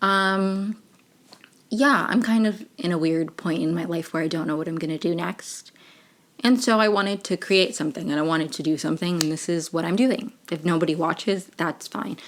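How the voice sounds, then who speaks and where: Here is an unremarkable speaking voice from a woman with an American accent. Her pitch is fairly low with ordinary variation. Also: moderate pace. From Maryland, US. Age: 20s. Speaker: podcaster. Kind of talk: casual chat. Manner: chatty, many fillers.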